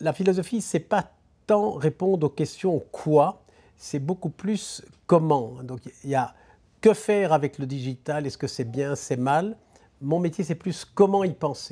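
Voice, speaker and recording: Pitched fairly high for a man, his dark, mellow voice moves at a very slow pace with ordinary pitch variation and big swings in loudness, in a very clean recording with a silent background. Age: 70s. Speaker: business philosopher. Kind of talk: interview. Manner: halting.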